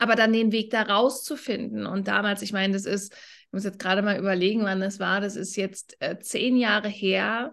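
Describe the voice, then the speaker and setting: Speaking at a moderate pace with hardly any pauses, a woman uses an ordinary speaking voice of medium pitch, with fairly even intonation and big swings in loudness. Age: 30s. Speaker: business coach. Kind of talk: casual chat.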